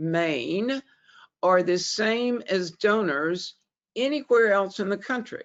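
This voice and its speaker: A woman's medium-pitched voice with a Southern US accent and lively intonation at a very slow pace. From US South, Alabama. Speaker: fundraising consultant. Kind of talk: webinar presentation. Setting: webinar.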